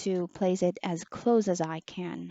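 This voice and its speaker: A soft-spoken woman at a fairly slow pace. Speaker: online teacher reviewing a headset. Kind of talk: product review.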